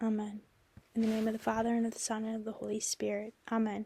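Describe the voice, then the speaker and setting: A woman's somewhat breathy voice with a dark, mellow tone and monotone, flat intonation. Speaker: podcast host. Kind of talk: spoken prayer. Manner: slow, soft-spoken.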